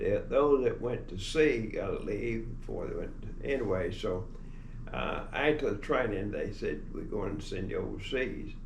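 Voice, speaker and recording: In an American accent, a man speaks at a moderate pace, with audible room echo around him. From Texas. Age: 90s. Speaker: war veteran. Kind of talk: testimony. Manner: halting.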